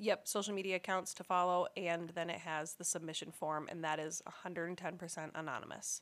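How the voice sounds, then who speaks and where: A woman with a fairly low voice speaks at a fairly quick clip, barely pausing, her intonation flat and monotone. The recording is very clean, with a silent background. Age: 20s. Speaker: podcast co-host. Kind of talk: casual chat.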